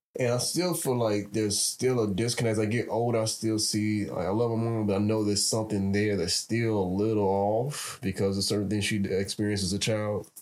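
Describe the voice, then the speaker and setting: A man with a plain, everyday voice and an American accent talks at a fairly quick pace in a fairly low pitch, with hardly any pauses, fairly even intonation and very even loudness. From Chicago, South Side. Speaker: podcast co-host. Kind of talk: casual chat.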